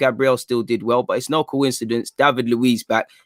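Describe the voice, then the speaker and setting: A man's unremarkable speaking voice at a medium pitch and a fairly quick pace, dry and close with no echo. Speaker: football fan guest. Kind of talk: podcast guest analysis.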